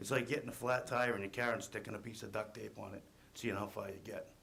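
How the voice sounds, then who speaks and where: A plain, everyday voice. It moves at a fairly quick pace with fairly even intonation. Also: man. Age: 40s. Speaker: construction worker. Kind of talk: testimony. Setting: public hearing. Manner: reading prepared statement.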